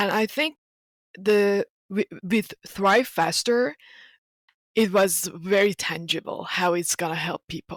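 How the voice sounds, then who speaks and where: Heard in a dry, close sound with no echo, a woman with a Persian accent speaks fairly slowly with fairly even intonation. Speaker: marketing competition winner. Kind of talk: interview.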